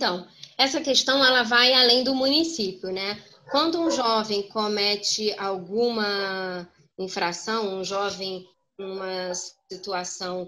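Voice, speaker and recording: A woman's voice sounds bright and sharp, fairly high in pitch with ordinary variation. She speaks at a very slow pace. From Brazil, Petrópolis (Rio de Janeiro state). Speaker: lawyer and council candidate. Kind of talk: political Q&A interview. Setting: video call.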